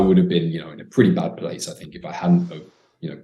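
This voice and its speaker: A man talks with a British accent. Audible room echo surrounds his voice. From Britain. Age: 20s. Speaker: dating coach. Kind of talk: casual chat.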